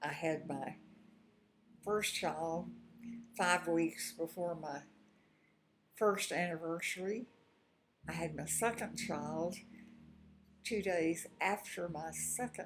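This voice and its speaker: Speaking very slowly in an American accent, a woman with a fairly low pitch shows vocal fry and ordinary pitch variation. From Texas (Houston). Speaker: retired teacher and artist telling her life story. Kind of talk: personal life-story monologue. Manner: halting with fillers.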